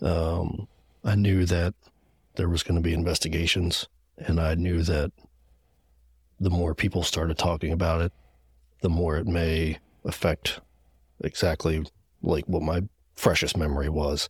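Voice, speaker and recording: A man with a very deep, low voice speaks at a moderate pace in a flat monotone, somewhat breathy, with long, frequent pauses and very even loudness. The recording is very clean, with a silent background and a dry, close sound with no echo. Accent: American. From Gettysburg, Pennsylvania. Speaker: firefighter. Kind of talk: testimony.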